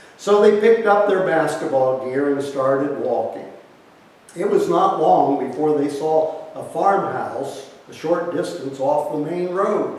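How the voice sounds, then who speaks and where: Noticeable background noise behind a man's fairly high voice, fairly slow pace and ordinary pitch variation. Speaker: retired history teacher. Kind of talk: newspaper column reading. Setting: outdoors.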